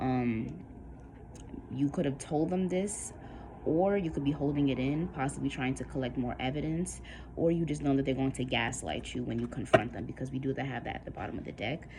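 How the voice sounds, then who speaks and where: A woman's very deep, low voice with vocal fry, a dark, mellow tone, lively intonation and a fairly quick pace, plus audible room echo. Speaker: tarot reader. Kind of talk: tarot reading.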